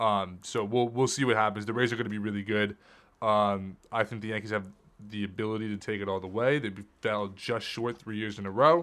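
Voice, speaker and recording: Fairly quick and fairly low-pitched, a man speaks in a very clean recording with a silent background. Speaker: podcast co-host. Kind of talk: casual sports podcast chat, heated debate. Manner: animated, passionate, heated.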